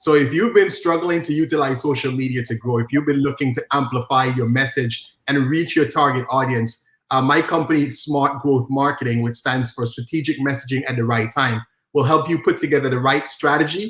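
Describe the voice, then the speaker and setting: With an Antiguan accent, a man speaks at a fairly quick pace in a fairly high pitch, his tone animated and his pitch variation ordinary. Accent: Antiguan Caribbean. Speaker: social media marketing coach. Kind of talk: interview.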